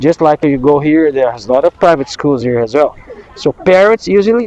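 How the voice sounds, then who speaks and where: A man talks with a Brazilian accent at a fairly high pitch. The sound is dry and close, with no echo. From southern Brazil, Londrina. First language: Portuguese. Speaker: English teacher. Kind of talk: casual conversation class. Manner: fast.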